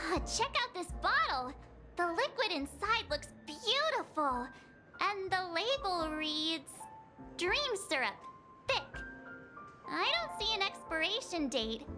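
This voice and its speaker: Over clear background music, a woman uses a cartoonish character voice at an extremely high pitch, talking at a fairly slow pace. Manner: bubbly, excited.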